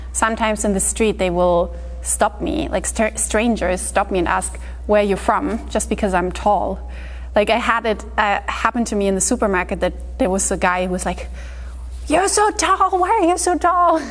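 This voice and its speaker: A woman speaks at a moderate pace, with noticeable noise in the background. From Germany, Cologne. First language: German. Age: 20s. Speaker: interviewee, migrant. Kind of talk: interview answers.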